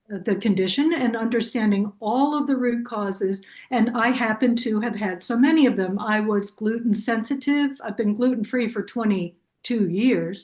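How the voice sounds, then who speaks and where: A somewhat breathy woman with an American accent, fairly high pitch, ordinary pitch variation, moderate pace, hardly any pauses, and a quiet background. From New Jersey, Bergen County. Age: 70s. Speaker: webinar participant. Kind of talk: casual chat.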